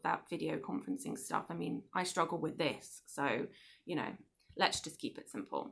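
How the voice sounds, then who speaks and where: With an English accent and vocal fry, a woman speaks fairly quickly in a bright, sharp tone. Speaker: book club host. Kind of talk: casual monologue to viewers. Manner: hesitant, many fillers.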